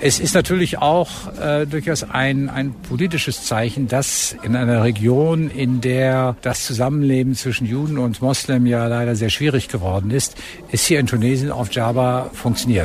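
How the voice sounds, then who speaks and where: A man with a medium pitch and ordinary pitch variation speaks at a moderate pace while noticeable background noise continues. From Germany. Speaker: ambassador. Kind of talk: interview.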